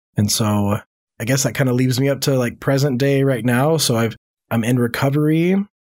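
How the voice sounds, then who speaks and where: A man with an unremarkable speaking voice talks at a fairly quick pace and medium pitch, with ordinary pitch variation and very even loudness, in a very clean recording with a silent background. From moved around the US, born in Louisiana. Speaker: marriage and family therapist. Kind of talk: personal testimony. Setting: studio.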